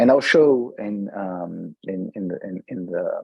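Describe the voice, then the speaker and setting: Music plays in the background. A man with a Brazilian accent speaks at a fairly low pitch. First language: Brazilian Portuguese. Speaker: tech company CEO presenting a software demo. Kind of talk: software demo presentation. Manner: many fillers and restarts.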